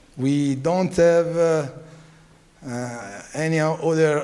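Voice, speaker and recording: A man with an Italian accent speaks at a very slow pace with ordinary pitch variation, amid audible room echo and noticeable background noise. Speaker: family business owner. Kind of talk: speech. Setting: stage with audience. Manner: halting.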